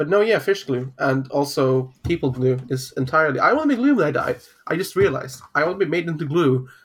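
At a very fast pace, a man talks in a fairly high, somewhat breathy voice with ordinary pitch variation. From northern Norway. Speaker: podcast host. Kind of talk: casual chat.

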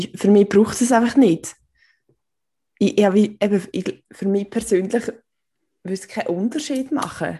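A woman speaks at a moderate pace with a medium pitch, ordinary pitch variation, a somewhat breathy, dark and mellow tone, and long, frequent pauses. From Switzerland, canton Aargau. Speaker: podcast co-host. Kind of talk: casual chat.

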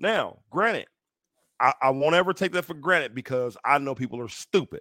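In a very clean recording with a silent background and a dry, close sound free of echo, a man speaks with lively intonation. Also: fairly high pitch for a man, fairly quick pace. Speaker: podcast co-host. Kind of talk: casual chat. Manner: loud.

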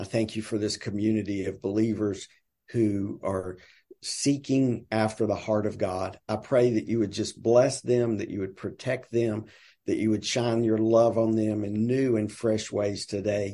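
With a Southern US accent, a man speaks fairly slowly at a fairly low pitch in a dark, mellow tone. His intonation is monotone and flat, with a quiet background. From US South. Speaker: nonprofit sales director. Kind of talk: casual interview chat.

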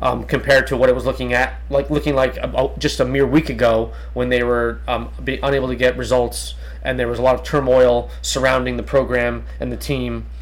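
A man talks fairly quickly while noticeable background noise sits beneath him. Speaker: podcast host; health teacher. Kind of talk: casual chat.

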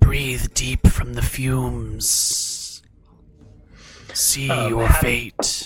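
A man puts on a raspy character voice, speaking at a very slow pace. Hissing and faint background music can be heard. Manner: hissing, ominous.

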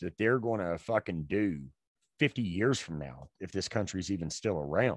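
An unremarkable speaking voice from a man, fairly low in pitch, with lively intonation at a moderate pace against a quiet background. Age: 30s. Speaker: podcast co-host. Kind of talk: casual chat.

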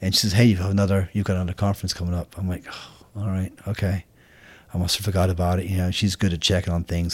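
A man's very deep, low voice in a flat monotone at a very fast pace, on a very clean recording with a silent background. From Scotland. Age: 50s. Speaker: Marine veteran and firefighter. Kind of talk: casual interview. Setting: in person at host's home.

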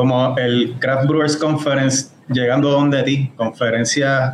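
A man at a medium pitch, in a Puerto Rican accent, at a fairly slow pace amid noticeable background noise. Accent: Puerto Rican, likened to reggaeton singers. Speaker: homebrewer and beer judge. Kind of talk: casual chat.

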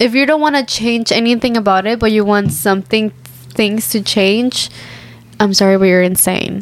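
Over noticeable background noise, a woman with a fairly high pitch speaks at a moderate pace with lively intonation and very even loudness. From Mexico. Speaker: podcast co-host. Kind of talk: casual chat.

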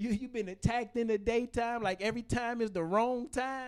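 A man with a high-pitched voice talks at a medium tempo. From Michigan, Detroit. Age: 40s. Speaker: motivational speaker and podcast host. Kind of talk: motivational talk with rhymes. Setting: studio. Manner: rhythmic, spoken-word style.

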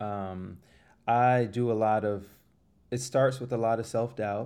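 A man speaks with an American accent in a dark, mellow tone. His intonation stays fairly even. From Florida. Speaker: singer-songwriter. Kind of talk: casual chat.

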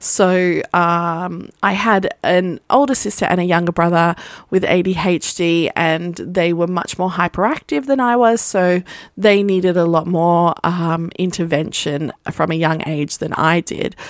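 A woman with an Australian accent speaks in an animated tone at a fairly slow pace, her pitch fairly low with ordinary variation. The recording is very clean, with a silent background. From Australia, partly raised in Las Vegas. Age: 30s. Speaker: podcast host, photographer. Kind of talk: casual monologue. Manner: animated, laughing often.

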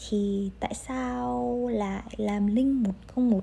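A woman's dark, mellow tone, somewhat breathy, at a medium pitch. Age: 20s. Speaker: podcast host, university student. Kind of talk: solo podcast monologue. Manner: casual, laughing often.

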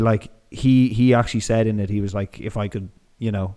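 Speaking in a medium pitch with fairly even intonation, a man with an Irish accent has a dark, mellow tone. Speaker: podcast host. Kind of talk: casual interview chat.

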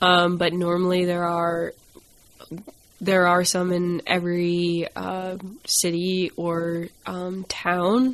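A woman speaks very slowly in an American accent, her fairly low voice flat and monotone. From US Northeast, Maine. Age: 20s. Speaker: podcast guest. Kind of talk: interview.

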